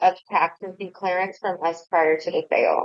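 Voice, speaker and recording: Here a woman talks at a medium pitch. Her intonation stays fairly even. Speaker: tax agency outreach officer. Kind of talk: online webinar Q&A. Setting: online webinar with chat. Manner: fast.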